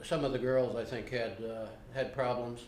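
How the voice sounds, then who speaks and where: A man talks at a fairly slow pace with an American accent. The room echo is audible. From Ohio. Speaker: interviewee. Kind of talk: interview. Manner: halting.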